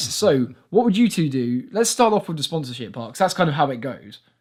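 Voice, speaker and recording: A man with an English accent talks at a fairly quick pace with hardly any pauses. His fairly high pitch makes very wide swings. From England. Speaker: podcast host. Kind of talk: casual chat.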